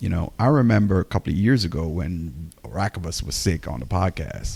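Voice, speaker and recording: Vocal fry runs through a man's very deep, low-pitched voice, which has a dark, mellow tone. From Jamaica. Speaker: podcast co-host. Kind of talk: casual chat. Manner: halting.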